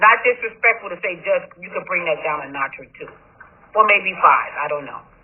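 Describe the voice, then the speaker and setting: Delivered at a moderate pace, the speech comes over noticeable background noise. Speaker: judge. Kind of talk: court hearing. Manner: loud; animated.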